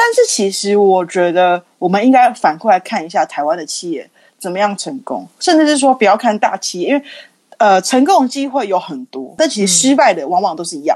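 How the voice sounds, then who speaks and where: A woman's medium-pitched voice at a fairly quick pace, with very wide pitch swings and big swings in loudness. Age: 30s. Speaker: marketer for a skincare brand. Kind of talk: casual interview chat.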